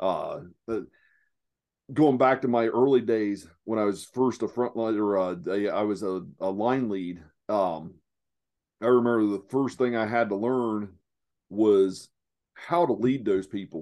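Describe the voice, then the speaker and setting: Against a quiet background, a man with an Appalachian accent speaks at a fairly slow pace and fairly low pitch, his tone dark and mellow, with long, frequent pauses. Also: ordinary pitch variation. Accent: Southeast Ohio Appalachian, noticeable. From Southeast Ohio. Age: 40s. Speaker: lean manufacturing consultant. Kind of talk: casual interview chat. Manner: halting, filler-heavy.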